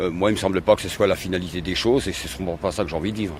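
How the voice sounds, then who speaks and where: Against noticeable background noise, a man speaks with a fairly low pitch and fairly even intonation. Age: 60s. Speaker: retired factory worker and trade unionist. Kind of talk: interview. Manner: halting, many hesitations.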